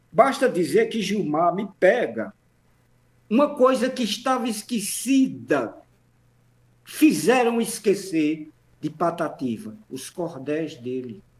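Pausing long and often, a man speaks at a very slow pace, his high pitch moving in very wide swings. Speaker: professor, actor and memorialist. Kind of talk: radio interview. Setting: remote online call.

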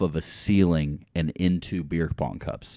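A man's dark, mellow voice at a very slow pace, against a quiet background. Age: 20s. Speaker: podcast host. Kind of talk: casual chat. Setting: studio.

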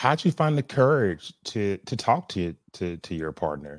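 A man with a normal speaking voice, fairly low pitch and fairly slow pace, in a very clean recording with a silent background and a dry, close sound with no echo. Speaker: podcast host. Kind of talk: interview chat.

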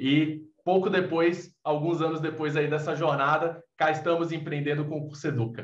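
Hardly pausing, a man at a fairly high pitch talks at a moderate pace with monotone, flat intonation. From Recife, Brazil. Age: 20s. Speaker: podcast co-host, tech entrepreneur. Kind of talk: interview.

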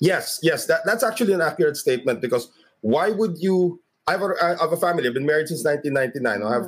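A man with a Filipino accent talks at a very fast pace and a fairly high pitch. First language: Tagalog. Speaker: sports broadcaster. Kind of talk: casual interview.

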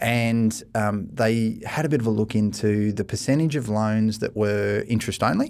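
Speaking with an Australian accent, a man keeps a moderate pace and a fairly even intonation. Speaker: mortgage broker, managing director. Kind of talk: casual podcast discussion. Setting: studio.

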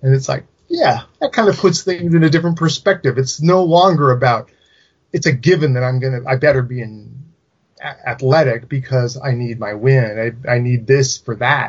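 A man with a West Coast American accent, medium pitch, a somewhat breathy sound, ordinary pitch variation and a moderate pace. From California, Silicon Valley. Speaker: horror writer and genre critic. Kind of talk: casual chat.

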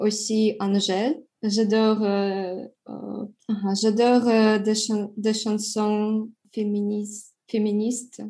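With a Russian accent, a woman speaks at a very slow pace in a fairly high pitch, her somewhat breathy voice dark and mellow in tone, with monotone, flat intonation and long, frequent pauses. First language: Russian (speaking French). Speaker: English teacher and French learner. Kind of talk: interview. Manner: halting, many hesitations.

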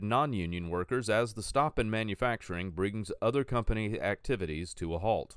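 This is a man with an ordinary speaking voice at a medium pitch. He talks at a fairly quick pace on a very clean recording with a silent background. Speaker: financial news presenter. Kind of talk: scripted market news brief, read from copy. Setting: studio. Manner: crisp, brisk newsreader delivery rattling off figures; formal, measured and neutral in tone.

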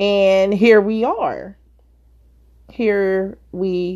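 Her voice sits at a medium pitch, and the woman keeps a fairly even intonation. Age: 50s. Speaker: podcast host and author. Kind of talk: casual monologue. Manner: hesitant, many fillers.

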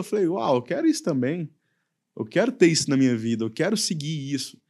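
Very wide pitch swings mark this man's fairly high voice, which has a dark, mellow tone. The recording is very clean, with a silent background. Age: 30s. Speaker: youth pastor. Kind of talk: casual chat.

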